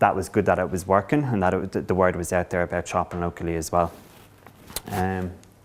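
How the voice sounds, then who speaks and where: This voice has an Irish accent and ordinary pitch variation. The pace is fairly quick. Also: man, very deep, low pitch for a man. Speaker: council economic development coordinator. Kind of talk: conference presentation. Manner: halting.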